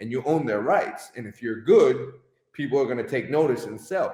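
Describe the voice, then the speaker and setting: A man speaks loudly. His pitch swings very widely. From Connecticut, US. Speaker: soccer club owner and coach. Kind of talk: interview. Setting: live stream. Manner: animated.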